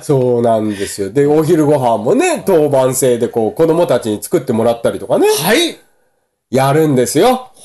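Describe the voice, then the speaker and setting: Lively intonation marks this man's fairly high voice with a dark, mellow tone. His pace is moderate. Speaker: podcast co-host. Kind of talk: casual chat.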